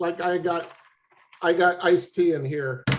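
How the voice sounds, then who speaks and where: The man's intonation stays monotone and flat throughout. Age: 60s. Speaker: podcast host, interviewer. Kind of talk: casual interview chat. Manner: halting, many repetitions and fillers.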